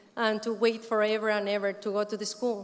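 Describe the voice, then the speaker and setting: A woman speaks with a Spanish accent at a fairly high pitch. Her pace is moderate. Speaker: community resident speaker. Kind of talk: conference speech.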